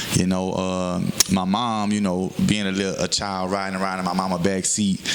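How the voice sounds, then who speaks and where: A man's very deep, low voice in a Southern US accent, monotone and flat, with very even loudness at a moderate pace over noticeable background noise. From Houston, Texas, with time in Louisiana and Mississippi. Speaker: rapper. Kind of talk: interview. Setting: radio show. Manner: many fillers and hesitations.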